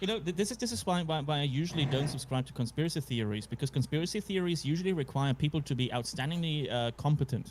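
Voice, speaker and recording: Somewhat breathy and fairly high-pitched, a man with a non-native accent talks at a very fast pace with lively intonation and hardly any pauses. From Central or Eastern Europe. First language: not English. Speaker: podcast co-host. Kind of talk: casual chat. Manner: halting.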